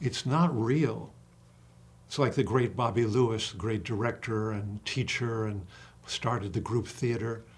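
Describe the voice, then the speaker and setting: A man speaks at a fairly slow pace in a medium pitch, his voice somewhat breathy and his pitch variation ordinary. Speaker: acting coach. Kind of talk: casual chat. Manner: animated.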